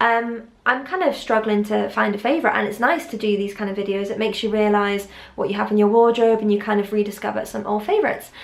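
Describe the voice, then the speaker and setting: A woman speaks at a very fast pace and a fairly high pitch. Her intonation is fairly even, and room echo is audible. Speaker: fashion vlogger. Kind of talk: fashion haul / styling vlog. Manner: casual, chatty with many fillers; pitch going high at times.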